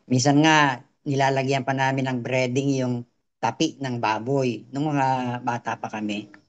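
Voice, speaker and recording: Monotone, flat intonation at a fairly slow pace. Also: man, medium pitch for a man. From Philippines, Quezon Province. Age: 70s. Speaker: customer giving testimony. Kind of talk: testimony. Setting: video call.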